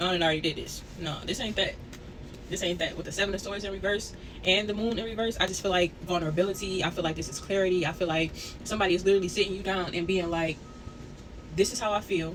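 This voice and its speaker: The pace of speech is very fast. Noticeable background noise is present. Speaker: tarot reader. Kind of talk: tarot reading. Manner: casual, conversational.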